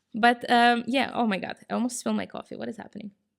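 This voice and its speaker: Speaking at a fairly quick pace, a woman uses an animated tone touched with vocal fry. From Israel. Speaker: podcast host. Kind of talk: livestream monologue. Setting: live stream. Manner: fast.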